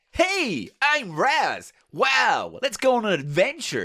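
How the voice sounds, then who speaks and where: In a put-on character voice with an American accent, the speaker talks at a very slow pace and a fairly high pitch. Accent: American, poorly done. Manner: eager, upbeat.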